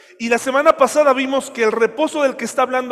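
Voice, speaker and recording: Through noticeable background noise, a man talks at an extremely high pitch with fairly even intonation. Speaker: pastor. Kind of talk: sermon.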